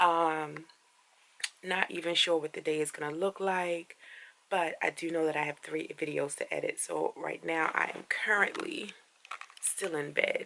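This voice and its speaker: A woman talks at a fairly slow pace, with noticeable background noise present. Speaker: vlogger. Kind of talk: casual vlog talk to camera. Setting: in bed at home.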